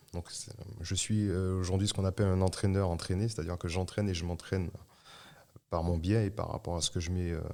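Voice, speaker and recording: Very deep, low, dark and mellow, a man's flat, monotone voice at a fairly quick pace with long, frequent pauses, on a very clean recording with a silent background. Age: 30s. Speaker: hurdler and athletics coach. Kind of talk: interview. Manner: halting, many hesitations.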